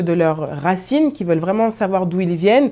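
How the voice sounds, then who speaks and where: A woman's voice, dark and mellow in tone. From France. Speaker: food blogger. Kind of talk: personal interview monologue. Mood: warm, smiling, relaxed. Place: studio. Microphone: lapel.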